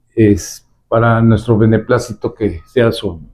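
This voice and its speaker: A man at medium pitch speaks very slowly in a dark, mellow tone. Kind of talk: interview host questions. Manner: formal introduction.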